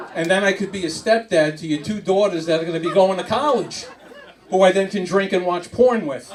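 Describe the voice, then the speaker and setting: A New York accent at a fairly quick pace, with noticeable background noise. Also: man, high pitch for a man, ordinary pitch variation. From New York (Queens, near Nassau County). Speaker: stand-up comedian. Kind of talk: stand-up.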